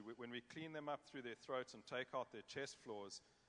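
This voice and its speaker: With a South African accent, a man speaks at a medium pitch with ordinary pitch variation. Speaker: cattle judge. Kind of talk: panel discussion.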